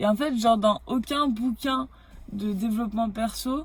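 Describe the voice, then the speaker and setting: This woman's voice is somewhat breathy and fairly high in pitch. Her tone is animated. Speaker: hypnotherapist vlogger. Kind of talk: casual vlog monologue. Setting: in her car. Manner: hesitant fillers.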